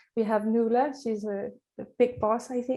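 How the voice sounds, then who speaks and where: A woman with a Danish accent speaks in a fairly high pitch, with a dark, mellow tone and fairly even intonation. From Denmark. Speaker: charity trustee, parent of a child with a rare syndrome. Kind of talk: conference introduction. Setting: virtual conference, video call. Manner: hesitant, many fillers.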